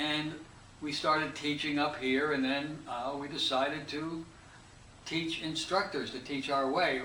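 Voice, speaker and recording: A man with an American accent talks at a fairly slow pace, his pitch fairly high and his intonation fairly even. Noticeable background noise and audible room echo come through. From United States. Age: 70s. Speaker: hypnotist and instructor. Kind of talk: interview. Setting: interview.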